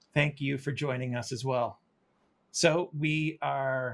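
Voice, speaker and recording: Fairly even intonation marks this man's voice. It is somewhat breathy. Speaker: orchestra percussionist and interview host. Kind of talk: interview. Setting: video call. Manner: halting.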